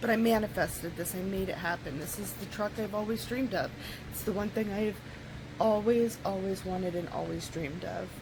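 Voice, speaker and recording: Over noticeable background noise and audible room echo, a woman talks fairly quickly at medium pitch with fairly even intonation. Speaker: vlogger. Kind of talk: casual vlog talk. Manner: slightly slurred speech; halting, with fillers.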